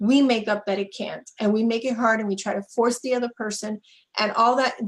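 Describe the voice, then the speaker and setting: Delivered monotone and flat, the speech goes along fairly quickly. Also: woman, fairly high pitch for a woman. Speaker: relationship coach. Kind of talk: live webinar interview. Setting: Facebook Live webinar.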